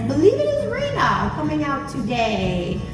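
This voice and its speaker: A woman speaks in a room with audible echo. Music plays in the background. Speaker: zoo animal presenter. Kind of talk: live animal show presentation. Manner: loud.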